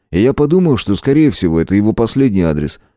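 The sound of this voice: The clip features an unforced reading voice.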